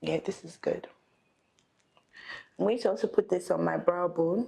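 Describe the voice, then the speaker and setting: Speaking at a moderate pace, a woman's loudness swings widely. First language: not English. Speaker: makeup artist. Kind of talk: makeup tutorial chat.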